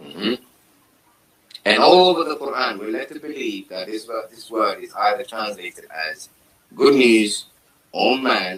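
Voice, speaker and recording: Big swings in loudness and long, frequent pauses from a man with a Somali accent. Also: moderate pace. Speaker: Quran commentator. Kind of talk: religious discussion.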